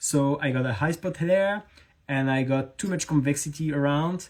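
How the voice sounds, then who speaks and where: The speaker talks at a moderate pace with a slight French accent. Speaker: knife maker. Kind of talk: live stream tutorial chat. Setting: Instagram live stream. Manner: halting.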